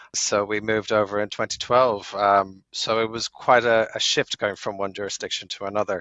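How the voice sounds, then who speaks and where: A man talks at a moderate pace in a Dublin accent. His pitch is fairly low and his intonation monotone and flat. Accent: Irish (Dublin). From Ireland, Dublin. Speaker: lawyer. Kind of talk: podcast interview.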